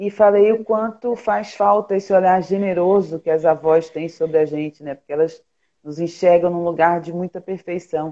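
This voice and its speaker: Her voice is fairly low, with a dark, mellow tone. This woman's loudness swings a lot. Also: ordinary pitch variation, moderate pace. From Pernambuco, Brazil. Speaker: journalist and filmmaker. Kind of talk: casual interview.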